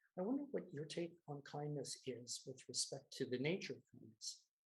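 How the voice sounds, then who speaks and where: This man talks at a fairly quick pace with a fairly high pitch. His voice is somewhat breathy. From Canada. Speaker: meeting host, table topics master. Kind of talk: meeting hosting.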